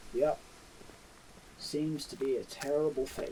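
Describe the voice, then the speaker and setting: Over clear background noise, a man puts on a gruff character voice with a fairly high pitch and a fairly slow pace. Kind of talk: ASMR roleplay. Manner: tough, gruff; threatening at first, softening later.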